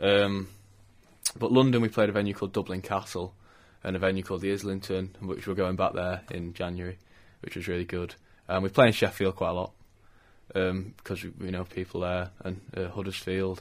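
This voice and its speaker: On a very clean recording with a silent background, a man with a northwest English accent speaks fairly quickly in a very deep, low pitch, with monotone, flat intonation and long, frequent pauses. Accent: north-west English. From Macclesfield, Cheshire, England. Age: 20s. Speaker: lead singer in a band. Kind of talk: radio interview. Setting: studio.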